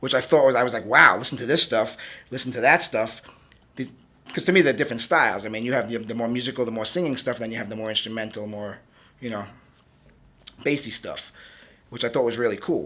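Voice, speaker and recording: A man with a Brooklyn accent talks at a very fast pace. He leaves long, frequent pauses. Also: medium pitch for a man, ordinary pitch variation. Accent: Brooklyn New York. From Brooklyn, New York. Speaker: music producer and DJ. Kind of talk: interview. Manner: halting, many fillers.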